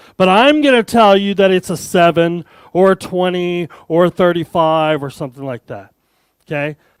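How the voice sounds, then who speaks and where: In an American accent, a man with a high pitch talks at a moderate pace, the sound dry and close with no echo. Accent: American, speaker says he has an. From Arizona, US. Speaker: tech developer advocate, conference speaker. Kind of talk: conference keynote talk. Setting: stage with audience, hybrid event. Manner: animated, joking.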